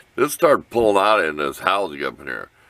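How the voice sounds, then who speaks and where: A man with a bright, sharp tone speaks at a very fast pace in a dry, close sound with no echo. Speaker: hobbyist DIY video maker. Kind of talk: casual workshop tutorial. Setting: home workshop. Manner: halting, informal.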